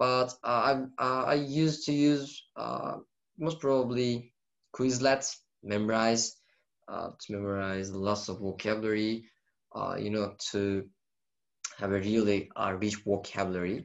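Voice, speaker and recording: This man speaks at a medium pitch and a fairly slow pace, with a Turkish accent. His pitch varies in an ordinary way, and he takes long, frequent pauses. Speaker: university student. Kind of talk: casual chat. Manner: halting, many fillers.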